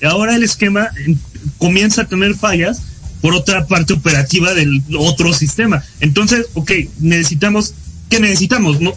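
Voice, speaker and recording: Music plays in the background as a man speaks at a high pitch and moderate pace. His pitch varies in an ordinary way, and his loudness stays very even. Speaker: student podcast co-host. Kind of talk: casual political chat.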